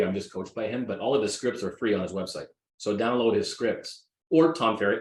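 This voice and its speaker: A man's very fast speech at a medium pitch. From Greek heritage. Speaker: real estate agent. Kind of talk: interview. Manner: animated.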